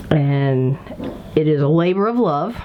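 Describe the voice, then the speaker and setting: Noticeable background noise sits behind a woman who speaks very slowly at a fairly low pitch. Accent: Appalachian. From Kentucky. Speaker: civil war reenactment organizer. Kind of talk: interview. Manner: conversational, rambling with fillers.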